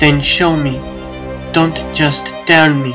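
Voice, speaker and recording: A cartoonish character voice speaks at a low-to-middle pitch. Clear music plays in the background. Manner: forceful, insistent, commanding.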